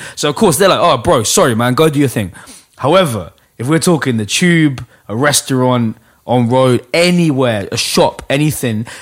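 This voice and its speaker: Speaking in a London accent, a man with a medium pitch uses lively intonation at a moderate pace on a very clean recording with a silent background. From London, Hackney. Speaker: battle rap league host. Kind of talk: casual chat.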